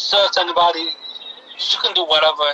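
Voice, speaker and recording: A man talks over noticeable background noise. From Massachusetts. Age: 20s. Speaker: father in custody dispute. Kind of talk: casual interview.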